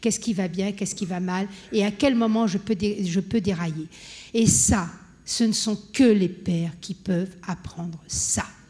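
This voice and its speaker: A somewhat breathy woman's voice. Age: 60s. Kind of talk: conference panel talk. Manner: animated.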